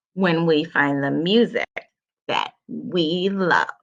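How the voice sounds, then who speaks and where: A woman's put-on character voice at a fairly low pitch and very slow pace, with a dry, close sound and no echo. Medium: read story.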